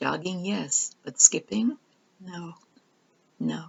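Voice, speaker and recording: A woman with vocal fry speaks in a calm tone at a fairly slow pace. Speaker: storyteller. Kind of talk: reading aloud.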